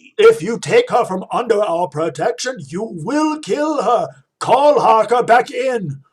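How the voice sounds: Putting on a character voice, a man talks fairly slowly in a high register with a slightly husky edge, his pitch swinging widely.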